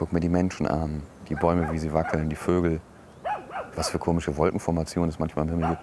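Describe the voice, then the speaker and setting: Despite long, frequent pauses, a man talks very fast with very deep pitch and flat, monotone intonation over noticeable background noise. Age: 30s. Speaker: podcaster, educator and DJ. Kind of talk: casual monologue. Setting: outdoors on a bench.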